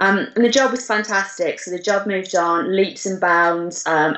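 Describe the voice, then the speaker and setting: Someone with a northern English accent speaks at a moderate pace with ordinary pitch variation over noticeable background noise. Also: woman. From northern England, Durham. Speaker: retail business manager. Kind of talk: interview. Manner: hesitant, many fillers.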